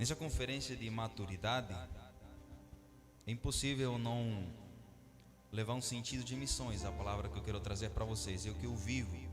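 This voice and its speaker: Somewhat breathy and at a medium pitch, a man talks at a moderate pace with ordinary pitch variation and long, frequent pauses, with audible room echo. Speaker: missionary preacher. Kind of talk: sermon.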